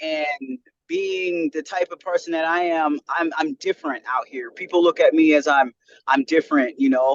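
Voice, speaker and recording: Speaking at a moderate pace in a New York–free, dry, close sound with no echo, a man with an American accent has a plain, everyday voice, ordinary pitch variation and a fairly high pitch. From US South. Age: 30s. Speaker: podcast guest. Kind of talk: casual interview.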